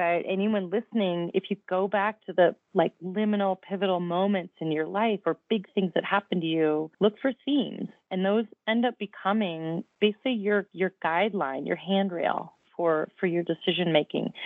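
This woman talks at a moderate pace with hardly any pauses. Her pitch is medium, with ordinary pitch variation. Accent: American. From US Midwest (Downers Grove, Illinois, Chicago suburbs). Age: 50s. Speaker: professional endurance athlete. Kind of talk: interview.

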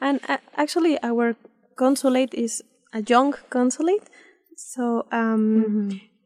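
In a Spanish accent, a woman with high pitch and ordinary pitch variation speaks at a fairly slow pace, the sound dry and close with no echo. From Mexico City. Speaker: consulate official. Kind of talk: interview. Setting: studio. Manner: halting.

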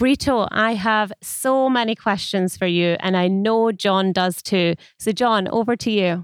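Speaking at a fairly slow pace with hardly any pauses, a woman with a normal speaking voice keeps a medium pitch, ordinary pitch variation and very even loudness in a very clean recording with a silent background. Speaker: podcast host. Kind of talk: interview.

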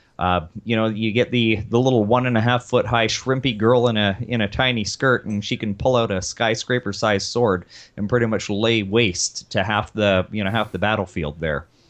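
Here a man with an unremarkable speaking voice talks at a medium pitch and a moderate pace, his pitch varying in an ordinary way. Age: 40s. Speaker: actor. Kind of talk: casual chat.

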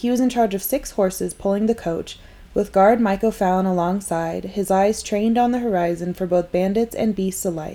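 A woman's ordinary speaking voice at a medium pitch and a moderate pace. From northern Nevada, US (Carson City). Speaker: history podcast host. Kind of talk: scripted narration.

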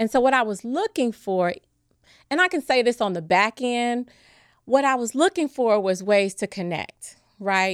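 With an American accent and an ordinary speaking voice, a woman talks at a moderate pace and fairly high pitch, her intonation lively, in a very clean recording with a silent background and a dry, close sound with no echo. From US Midwest, Chicago. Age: 40s. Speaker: former nurse, world traveler. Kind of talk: interview.

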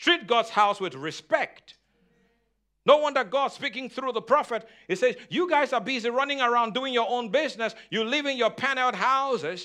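Extremely high-pitched man in a raised, projected voice, animated, with a bright, sharp tone and ordinary pitch variation. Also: moderate pace. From Nigeria. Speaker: pastor. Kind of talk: sermon. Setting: church.

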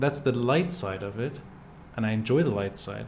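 The voice is a man's, somewhat breathy and medium in pitch. He speaks at a moderate pace. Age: 40s. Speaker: podcast host. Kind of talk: casual interview. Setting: video podcast studio.

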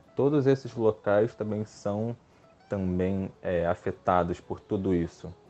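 A man's fairly low voice sounds over background music. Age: 20s. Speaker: environmental scientist. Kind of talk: panel discussion. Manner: hesitant, many filler sounds.

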